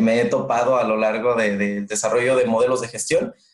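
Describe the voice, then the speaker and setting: At a moderate pace, a man with an ordinary speaking voice talks at medium pitch and with fairly even intonation. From northern Mexico, Monterrey. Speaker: customer experience manager. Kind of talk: interview.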